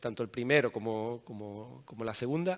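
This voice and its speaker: A man's voice with ordinary pitch variation. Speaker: telecom engineer, observatory operations head. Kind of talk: conference talk. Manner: halting, many fillers and restarts.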